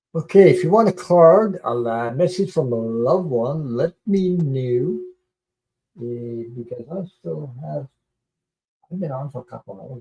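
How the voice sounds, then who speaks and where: Speaking at a fairly slow pace, a man with a medium-pitched, somewhat breathy voice and a dark, mellow tone uses lively intonation and big swings in loudness. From Quebec. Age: old. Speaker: tarot reader livestreamer. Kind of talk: live stream chat. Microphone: echo at start.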